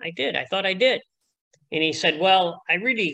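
In a Chicago accent, the voice has a bright, sharp tone and ordinary pitch variation. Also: man. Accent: Chicago American. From Chicago, US. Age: 70s. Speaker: retired athletics coach. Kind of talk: casual interview.

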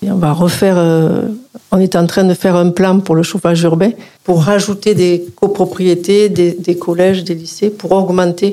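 A woman speaks fairly slowly at a medium pitch in a monotone, flat way, with very even loudness and noticeable background noise. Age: 60s. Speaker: local politician. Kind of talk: radio interview. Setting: studio.

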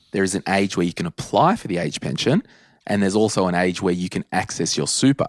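On a very clean recording with a silent background and a dry, close sound with no echo, a man with an Australian accent talks at a very fast pace with a very deep, low pitch and ordinary pitch variation. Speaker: personal finance podcast host. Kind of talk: casual chat.

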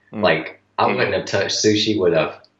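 A man speaks in a Southern US accent. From North Carolina. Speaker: strength coach. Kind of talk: casual chat. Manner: halting.

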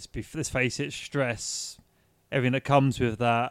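A man at a medium pitch has a plain, everyday voice with fairly even intonation, dry and close with no echo, in a very clean recording with a silent background. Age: 40s. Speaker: podcast co-host. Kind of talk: casual chat.

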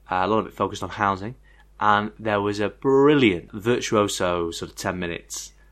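A man with a northern English accent at a fairly slow pace, against a quiet background. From northern England. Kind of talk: casual chat.

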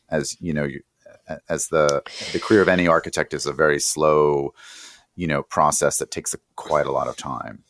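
A man talks at a fairly quick pace with a very deep, low pitch and vocal fry. His intonation is flat and monotone, and the sound is dry and close with no echo. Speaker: podcast host and design journalist. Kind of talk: interview podcast.

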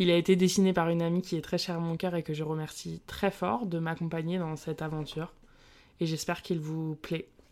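Speaking at a fairly quick pace, a woman with a fairly low pitch keeps a monotone, flat intonation on a very clean recording with a silent background. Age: 20s. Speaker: early childhood educator and podcast host. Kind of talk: solo podcast monologue.

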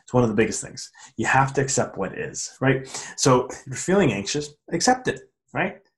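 This voice belongs to a man. It has some breathiness to it. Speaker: podcast host. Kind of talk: solo monologue on mindfulness. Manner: fast; animated.

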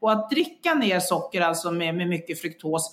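With lively intonation, the speaker keeps a moderate pace. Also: woman. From Sweden. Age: 50s. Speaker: health coach and engineer. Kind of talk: interview. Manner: halting.

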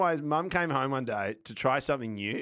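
A man with an Australian accent at a fairly quick pace, on a very clean recording with a silent background. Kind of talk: casual chat.

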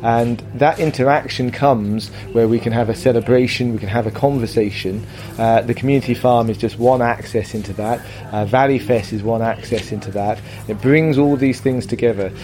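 Amid noticeable background noise, a man talks at a medium pitch and a fairly quick pace with fairly even intonation. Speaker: festival organiser. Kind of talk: interview answers.

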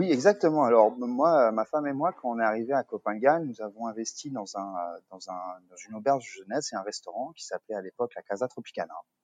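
Very fast and with lively intonation, a man speaks at a medium pitch in a dry, close sound with no echo. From Paris suburbs, France. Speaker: co-founder of a coworking business. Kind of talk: interview. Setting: remote call from a coworking terrace. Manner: halting, many fillers and repetitions.

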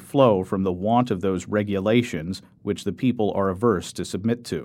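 A man speaks in an ordinary speaking voice, fairly low in pitch and at a fairly quick pace. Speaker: audiobook narrator. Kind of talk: audiobook-style reading aloud of 18th-century philosophical prose, measured and formal. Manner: formal.

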